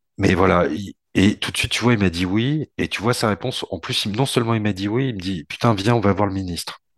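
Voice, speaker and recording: Over a quiet background, a man of fairly low pitch talks at a fairly quick pace with ordinary pitch variation. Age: 40s. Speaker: port industry association head. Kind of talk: casual podcast interview. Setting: remote call from home. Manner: halting, repeats words.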